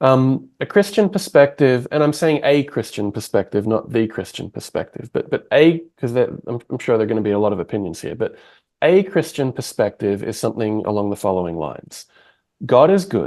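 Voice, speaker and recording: A man with an Australian accent speaks in a dark, mellow tone with very wide pitch swings. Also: quiet background. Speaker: podcast host. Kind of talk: interview conversation.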